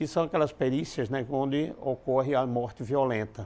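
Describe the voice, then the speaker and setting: With a dark, mellow tone, this man talks at a moderate pace. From Paraíba, Brazil (interior). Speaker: criminal forensic expert. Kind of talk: interview.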